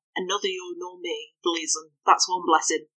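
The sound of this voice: The background stays quiet as an unforced reading voice comes through.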